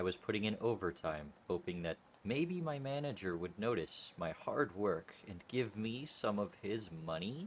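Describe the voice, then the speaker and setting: The speaker moves at a moderate pace with hardly any pauses. Pitch swings very widely. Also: man, fairly low pitch for a man. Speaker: creepypasta narrator. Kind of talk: horror story narration, humorous creepypasta read.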